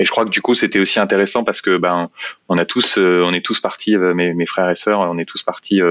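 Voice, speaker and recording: Very deep, low-pitched male voice at a fairly quick pace in a monotone, flat delivery. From France, Seine-et-Marne (Meaux). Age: 30s. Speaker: company executive. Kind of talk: interview. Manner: halting, many fillers and repetitions.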